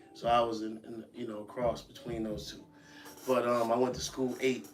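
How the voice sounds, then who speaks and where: Speaking with an American accent at a moderate pace, a man with medium pitch and fairly even intonation shows big swings in loudness, with audible room echo and noticeable background noise. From US Northeast, Buffalo, New York. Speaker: podcast host. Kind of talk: podcast interview. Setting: live-streamed podcast studio.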